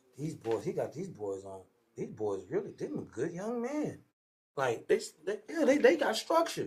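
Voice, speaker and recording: His loudness rises and falls in big swings as the man talks at a moderate pace. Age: 50s. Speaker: football coach and athletic trainer. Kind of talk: casual interview chat. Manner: animated.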